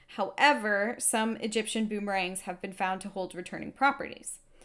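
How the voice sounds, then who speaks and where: On a very clean recording with a silent background, a woman with an unremarkable speaking voice talks at a moderate pace and a medium pitch. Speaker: podcast co-host. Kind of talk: casual chat with storytelling. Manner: relaxed, laughs often.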